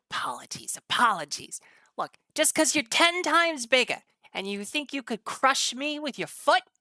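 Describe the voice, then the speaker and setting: A female-sounding put-on character voice, raised and projected, pitched high for a woman at a moderate pace, on a very clean recording with a silent background. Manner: indignant, defensive.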